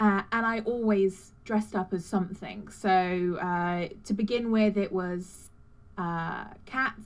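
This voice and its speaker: A woman's very slow speech in a British accent, medium in pitch with fairly even intonation. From Britain. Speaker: cosplayer. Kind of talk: casual interview. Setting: live stream. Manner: halting, many fillers.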